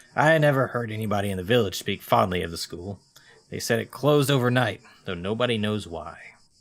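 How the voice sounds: The speaker reads in a natural voice. That reading voice stays natural all the way through.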